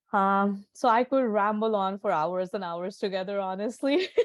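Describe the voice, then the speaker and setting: A woman with an Indian accent keeps her intonation fairly even. She talks at a moderate pace and a medium pitch. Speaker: Ayurvedic doctor. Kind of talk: interview. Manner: hesitant, many fillers.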